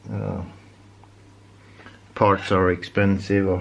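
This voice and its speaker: Someone with a Norwegian accent speaks at a very slow pace against noticeable background noise. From Norway. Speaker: DIY chainsaw repair youtuber. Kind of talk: tutorial. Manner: halting, many fillers and repeats.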